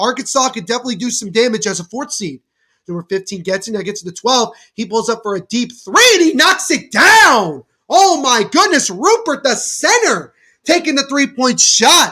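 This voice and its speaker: In a very clean recording with a silent background, a man projects a raised, energetic voice at a moderate pace, bright and sharp in tone, with extremely high pitch and very wide pitch swings. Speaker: podcast host. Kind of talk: live play-by-play watchalong commentary.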